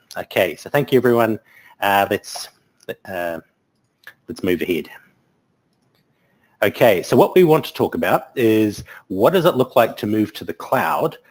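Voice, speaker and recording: A man with a New Zealand accent talks at a moderate pace, his medium pitch making very wide swings and his loudness shifting a lot. Long pauses come often, and the sound is dry and close with no echo. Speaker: technology conference speaker. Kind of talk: webinar presentation. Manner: hesitant, many filler words.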